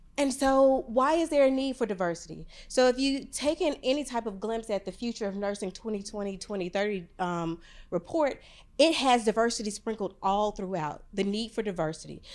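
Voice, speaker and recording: In a very clean recording with a silent background, a woman talks at a fairly quick pace, fairly high in pitch and lively in intonation. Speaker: nursing professor. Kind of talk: conference presentation. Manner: loud; fast.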